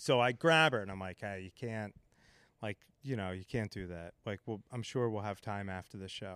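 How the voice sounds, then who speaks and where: A normal speaking voice from a man with an American accent, fairly low in pitch with ordinary variation, at a moderate pace, on a very clean recording with a silent background and a dry, close sound with no echo. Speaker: comedian; bar owner. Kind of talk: casual chat. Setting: podcast recorded live with audience. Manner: joking, profane.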